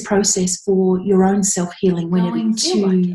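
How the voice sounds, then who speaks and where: The voice is somewhat breathy. Its intonation stays flat and monotone. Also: woman. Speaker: past life regression therapist and meditation guide. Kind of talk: casual talk to camera, introduction to a meditation.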